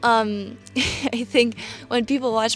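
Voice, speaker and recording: In a German accent, a woman talks at a moderate pace with monotone, flat intonation. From Germany, Frankfurt. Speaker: travel vlogger. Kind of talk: casual Q&A vlog. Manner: hesitant, many fillers.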